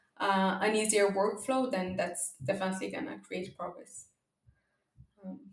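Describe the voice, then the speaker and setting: Speaking fairly slowly, a woman uses a medium pitch with ordinary pitch variation. Room echo is audible. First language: not English (English is third language). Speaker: data observability company founder. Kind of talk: podcast interview. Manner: hesitant, many fillers.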